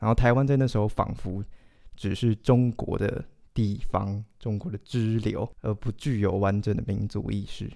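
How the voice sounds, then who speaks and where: With a Taiwanese accent, a man talks at a fairly slow pace in a fairly low pitch, his dark, mellow tone carrying fairly even intonation. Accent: Taiwanese Mandarin. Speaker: literature graduate student, podcast co-host. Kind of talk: casual chat.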